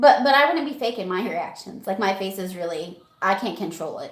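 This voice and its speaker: With a slight Southern US accent, a woman talks at a moderate pace and a medium pitch. Her intonation is lively, and the room echo is audible. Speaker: livestream guest, friend of host. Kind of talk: casual chat.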